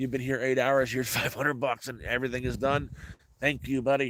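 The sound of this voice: A man's raspy, put-on character voice at medium pitch, in a fairly quick pace and monotone, flat intonation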